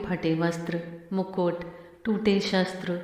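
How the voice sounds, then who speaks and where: A woman speaks in a solemn tone at a medium pitch. Noticeable background noise runs underneath. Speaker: professional voiceover artist. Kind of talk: Hindi narration voiceover of a dramatic mythological story. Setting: voiceover recording for a showcase video. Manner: solemn, slow, mournful narration.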